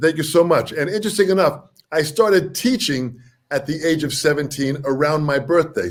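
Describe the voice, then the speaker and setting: A man's fairly high voice at a moderate pace, animated in tone with lively intonation. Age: 60s. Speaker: drummer and drum teacher. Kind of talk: interview.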